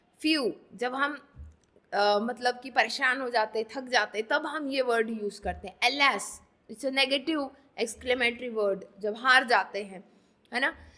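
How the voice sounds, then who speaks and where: A woman with a high pitch and a bright, sharp tone speaks at a moderate pace, with ordinary pitch variation and big swings in loudness. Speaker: online exam coaching teacher. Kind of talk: tutorial. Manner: code-switching Hindi and English.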